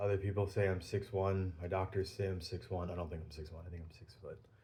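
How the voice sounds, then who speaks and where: A man talks in a fairly low voice. His delivery is somewhat breathy. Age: 40s. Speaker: pipe-smoking video blogger. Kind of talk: casual monologue vlog. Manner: hesitant, many filler ums.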